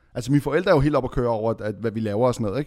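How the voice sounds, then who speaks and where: Here a man talks at a medium pitch with ordinary pitch variation. The recording is very clean, with a silent background. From Lebanon. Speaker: podcast co-host. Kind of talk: casual chat.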